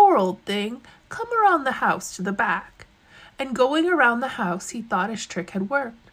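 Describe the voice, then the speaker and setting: A woman with a fairly high voice speaks at a moderate pace. Her intonation is lively, and there is noticeable background noise. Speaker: storyteller. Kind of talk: storytelling, reading folk tales aloud in a narrated, dramatized telling.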